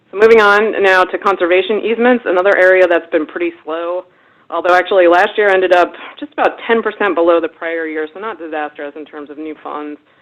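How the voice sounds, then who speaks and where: Speaking at a very fast pace in a US East Coast accent, a woman with a medium pitch and ordinary pitch variation shows big swings in loudness. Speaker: webinar presenter, investment research director. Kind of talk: webinar presentation. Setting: webinar.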